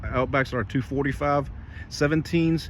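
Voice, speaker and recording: Noticeable background noise runs under a man who speaks at moderate speed. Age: 40s. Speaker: car enthusiast vlogger. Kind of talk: casual tutorial. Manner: casual, rambling with fillers.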